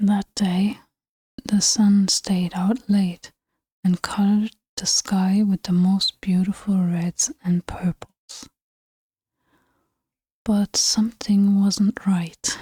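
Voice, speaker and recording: The soft-spoken voice moves at a very slow pace, broken by long, frequent pauses. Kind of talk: ASMR bedtime story reading.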